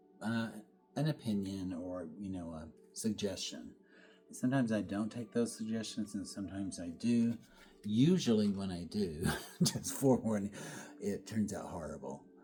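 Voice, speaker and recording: Over music in the background, a man speaks at a moderate pace with a fairly low pitch and ordinary pitch variation. He leaves long, frequent pauses. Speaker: painter. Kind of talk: studio painting vlog. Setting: art studio. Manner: soft-spoken; relaxed, halting.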